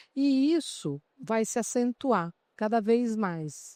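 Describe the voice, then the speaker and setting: Recorded very cleanly with a silent background and a dry, close sound with no echo, a woman speaks in a fairly high pitch with a dark, mellow tone. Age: 60s. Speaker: HR association president and CEO. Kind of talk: panel talk at a trade fair. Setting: exhibition stand with live audience. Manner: animated.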